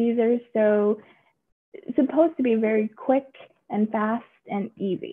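Against light background noise, a woman with an American accent talks at a fairly slow pace and fairly high pitch, with ordinary pitch variation and long, frequent pauses. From Texas. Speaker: judge. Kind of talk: informational video update to the public. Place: office. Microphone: video call.

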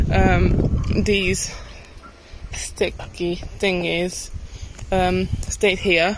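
Noticeable background noise surrounds a woman's voice, which sounds dry with no echo. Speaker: travel vlogger. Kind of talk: casual vlog chat. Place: open country. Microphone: phone near.

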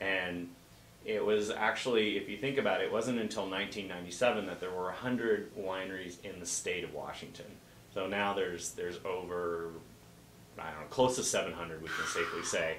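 With an American accent, a man talks at a moderate pace in a fairly low pitch and fairly even intonation, over light background noise and audible room echo. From Oregon coast (Bandon); Oregon. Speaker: guest. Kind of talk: interview. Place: shop.

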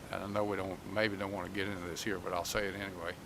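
Spoken with a North Carolina accent, the voice carries audible room echo. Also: man. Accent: North Carolina Southern. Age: 70s. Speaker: economic development executive. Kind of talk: public meeting presentation. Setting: public meeting hall. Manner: halting, frequent repetitions.

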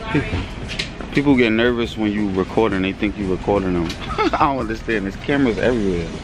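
A man's fairly low voice at a very fast pace, with ordinary pitch variation, a dry sound with no echo, and noticeable background noise. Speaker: father vlogger. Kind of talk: casual vlog chat. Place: shop. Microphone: phone near.

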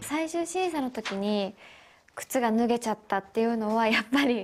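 Music plays in the background. A woman speaks at a fairly high pitch with lively intonation. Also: moderate pace. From Ishikawa, Japan. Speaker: actress. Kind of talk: TV interview answer. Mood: shy, cheerful, often laughing. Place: empty room. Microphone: handheld.

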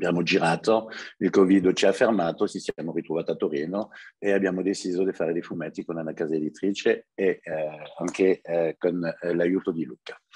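Very deep, low male speech, fairly even in intonation. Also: fairly quick pace. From France and Italy. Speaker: journalist and writer; journalist. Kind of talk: webinar presentation. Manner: halting. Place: home room. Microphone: earbuds.

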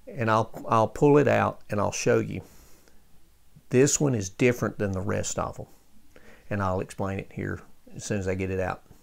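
Moderate pace with long, frequent pauses and ordinary pitch variation. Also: man, fairly low pitch for a man. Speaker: radio restorer. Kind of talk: tutorial. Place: workshop. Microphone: phone near.

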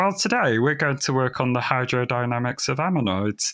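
A man puts on a nasal character voice at medium pitch. He moves at a fairly quick pace. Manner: pedantic, academic.

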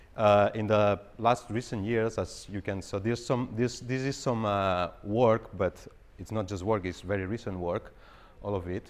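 A man's unremarkable speaking voice, fairly low in pitch, at a moderate pace with fairly even intonation. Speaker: presenter. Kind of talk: lecture. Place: hall.

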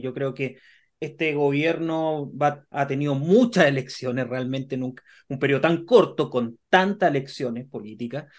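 A man with a Chilean accent speaks against a quiet background. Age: 30s. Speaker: co-host. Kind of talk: political interview. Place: office. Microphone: video call.

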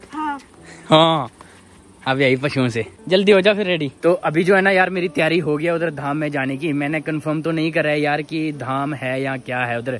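A man's fairly high voice at a moderate pace, with ordinary pitch variation and a dry sound free of echo. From Jammu and Kashmir. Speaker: village vlogger. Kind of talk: casual vlog talk to camera. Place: open country. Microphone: phone near.

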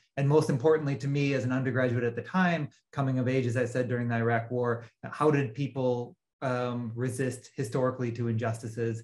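A man speaks at a fairly quick pace with a somewhat breathy voice and fairly even intonation. The background is quiet. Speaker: guest. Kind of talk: interview answer. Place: home room. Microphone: video call.

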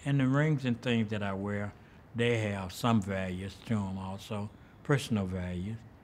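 In a Southern US accent, a man talks at a fairly slow pace over light background noise. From US South (Birmingham, Alabama). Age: 70s. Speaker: artist and musician. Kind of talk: interview. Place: hall.

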